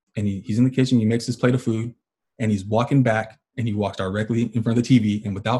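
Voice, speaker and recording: At a very fast pace, a man speaks in a medium-pitched, somewhat breathy voice with a dark, mellow tone and fairly even intonation. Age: 30s. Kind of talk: casual chat.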